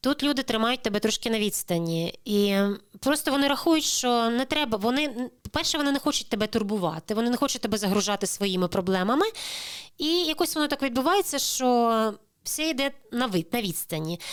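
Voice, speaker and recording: Heard in a very clean recording with a silent background, a woman speaks at a fairly quick pace. Her high pitch moves in very wide swings. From Crimea, Ukraine. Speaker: immigrant sharing experience. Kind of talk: interview.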